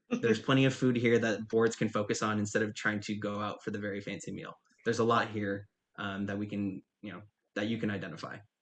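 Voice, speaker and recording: A man's very fast speech, fairly low in pitch, with fairly even intonation. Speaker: nonprofit fundraising consultant. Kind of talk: webinar presentation. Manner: hesitant, many fillers.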